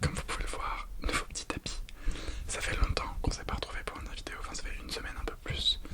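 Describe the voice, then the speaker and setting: Over clearly noticeable background noise, a whisper rushes along at a very fast pace. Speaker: ASMR creator. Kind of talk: casual ASMR talk to camera about crafts.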